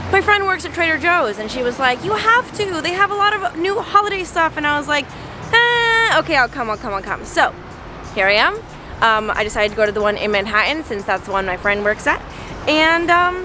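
With music playing behind her, a woman talks at a fairly quick pace in a raised, projected voice, her pitch swinging very widely in a dry recording with no echo. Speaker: vlogger. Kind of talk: casual vlog chat. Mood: cheerful, then angry and upset. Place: street. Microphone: phone near.

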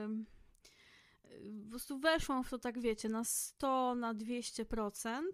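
A woman with a high pitch speaks at a very slow pace, with long, frequent pauses and fairly even intonation. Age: 30s. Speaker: podcast host. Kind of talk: solo book review monologue. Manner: casual, frequent fillers.

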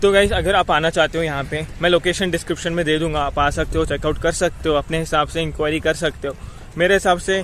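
At a fairly quick pace, a man talks with monotone, flat intonation in a dry sound with no echo, over light background noise. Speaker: vlogger. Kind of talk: casual vlog chat. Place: open country. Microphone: phone near.

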